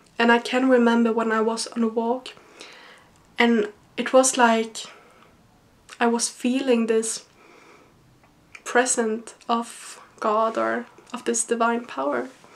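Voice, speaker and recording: With a Swedish accent, a woman speaks very slowly at a fairly high pitch in a monotone, flat intonation, with long, frequent pauses. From Sweden. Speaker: university student and vlogger. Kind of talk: personal vlog monologue. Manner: halting.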